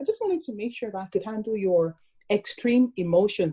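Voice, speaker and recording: Somewhat breathy, with a dark, mellow tone and a fairly high pitch, a woman speaks at a fairly quick pace in a dry, close sound with no echo. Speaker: relationship podcast co-host. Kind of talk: casual chat. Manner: excitable, animated.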